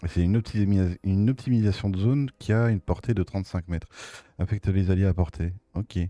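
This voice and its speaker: Dry and close with no echo, a man's voice has a dark, mellow tone and a fairly low pitch. He talks at a fairly quick pace with ordinary pitch variation. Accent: Belgian. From Belgium. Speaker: gaming streamer. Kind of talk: gameplay commentary. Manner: casual, hesitant with many fillers. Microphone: new microphone.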